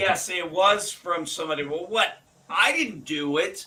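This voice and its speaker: A man's high voice is raised and projected with lively intonation. Noticeable background noise sits behind him. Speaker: streamer. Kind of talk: casual chat.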